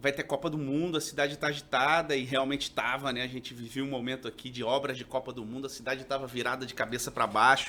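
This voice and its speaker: A man's voice with a bright, sharp tone. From Rio de Janeiro, then Minas Gerais from 16. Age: 40s. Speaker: TV journalist and reporter. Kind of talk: casual podcast interview.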